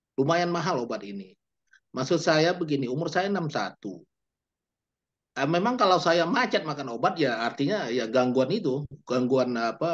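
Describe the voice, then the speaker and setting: With an ordinary speaking voice, a man talks at a moderate pace and uses lively intonation. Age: 60s. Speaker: employee audience member asking a question. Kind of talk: question in Q&A.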